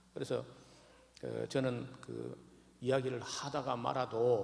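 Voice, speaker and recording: A man at a very slow pace, with audible room echo. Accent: strong Gyeongsang. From Gyeongsang region, Jirisan mountains. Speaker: pastor. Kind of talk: sermon. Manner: halting, many fillers.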